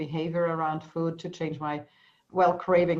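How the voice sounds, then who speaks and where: In a German accent, a woman speaks with a very deep, low pitch. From Austria. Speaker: EFT practitioner. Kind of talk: interview. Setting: video call. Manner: halting.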